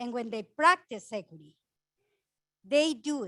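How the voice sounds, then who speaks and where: This is a very clean recording with a silent background. A woman speaks with lively intonation and a Spanish accent. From Ecuador. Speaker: housing nonprofit director. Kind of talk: conference panel talk. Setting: conference room with audience and mic.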